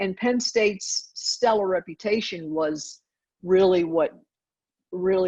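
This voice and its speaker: A woman speaks at a fairly slow pace with a slight Southern US accent. Her pitch sits in the medium range. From US South (Georgia). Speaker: university dean. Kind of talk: interview.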